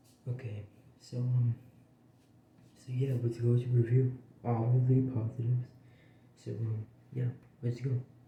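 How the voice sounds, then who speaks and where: Pausing long and often, a man speaks at medium pitch in a dark, mellow, somewhat breathy voice with monotone, flat intonation. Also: moderate pace. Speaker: game reviewer. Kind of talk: casual game review. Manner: halting, filler-heavy.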